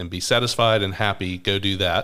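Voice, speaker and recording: The pace is moderate. An American accent comes through. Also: man. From US South, Atlanta, Georgia. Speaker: pastor and podcast co-host. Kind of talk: casual chat.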